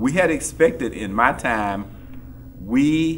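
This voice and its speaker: A man with an American accent speaks at a medium pitch, with vocal fry and lively intonation. His pace is very slow, and audible room echo surrounds him. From Texas. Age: 60s. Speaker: civil rights era witness. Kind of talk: panel discussion. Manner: halting, repeats words.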